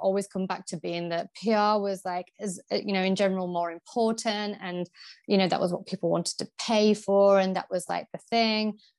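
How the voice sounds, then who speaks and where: A woman with a Yorkshire accent talks at a fairly quick pace in a medium pitch and fairly even intonation, captured in a very clean recording with a silent background and a dry, close sound with no echo. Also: hardly any pauses. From Yorkshire, England. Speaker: PR agency founder. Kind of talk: interview.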